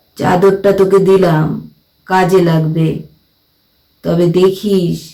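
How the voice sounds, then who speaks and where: In a put-on character voice, the speaker talks very slowly at a middle pitch. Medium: read story.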